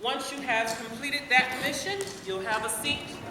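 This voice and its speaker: At a fairly slow pace, a woman with an American accent and fairly high pitch speaks through audible room echo and noticeable background noise. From US South, rural Fayetteville, North Carolina. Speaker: actress teaching a workshop. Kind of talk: workshop talk. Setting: stage with audience. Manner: animated.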